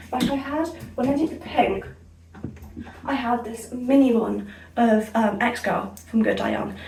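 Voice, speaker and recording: High-pitched, a woman with a northern English accent speaks with ordinary pitch variation and long, frequent pauses. The room echo is audible, and background noise is noticeable. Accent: sounds northern English today. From Somerset, south-west England. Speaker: beauty vlogger. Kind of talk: casual chat. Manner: energetic, fast chatter; speaking clearly.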